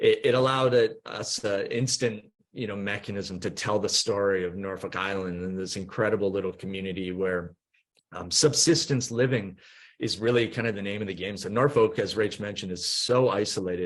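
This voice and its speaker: A man with a Canadian accent talks at a fairly quick pace, his fairly low voice moving with ordinary pitch variation. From Canada, Vancouver. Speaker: company co-founder. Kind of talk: podcast interview. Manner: halting, many fillers.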